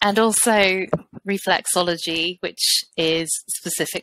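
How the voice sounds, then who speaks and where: A woman with a British accent speaks at a fairly slow pace, her fairly low pitch showing ordinary variation. Her tone is bright and sharp, and the sound is dry and close with no echo. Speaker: fertility therapist. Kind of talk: podcast interview.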